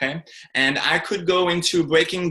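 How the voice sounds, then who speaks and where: A man with a French accent speaks at a moderate pace in a fairly high pitch, his tone bright and sharp. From France. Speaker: speaker and coach. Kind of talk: interview.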